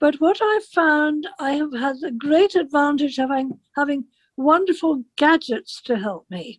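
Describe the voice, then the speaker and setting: Speaking with an English accent, a woman uses a high pitch and lively intonation. She talks at a fairly slow pace. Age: 80s+. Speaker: interviewee with sight loss. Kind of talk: interview. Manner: halting.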